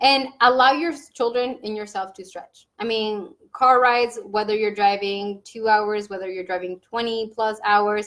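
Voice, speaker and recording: A woman at a moderate pace with a fairly high pitch, fairly even intonation, big swings in loudness and hardly any pauses. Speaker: vlogger. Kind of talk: casual chat. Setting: at home. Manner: halting.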